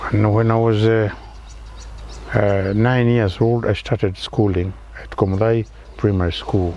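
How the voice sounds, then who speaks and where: A man speaks at a fairly slow pace and a fairly low pitch, his intonation monotone and flat. Long pauses come often. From Kenya, Kiambu County. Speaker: retired engineer. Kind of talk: interview. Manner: halting.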